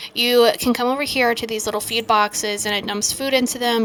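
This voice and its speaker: Noticeable background noise sits under a woman's voice, which keeps a fairly even intonation. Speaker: gaming YouTuber. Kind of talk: game review commentary. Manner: fast.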